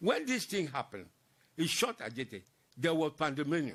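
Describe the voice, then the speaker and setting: A man's fairly high voice with very wide pitch swings, vocal fry, and a moderate pace. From Ghana, Accra (Osu). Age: 90s. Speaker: war veteran. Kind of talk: interview testimony.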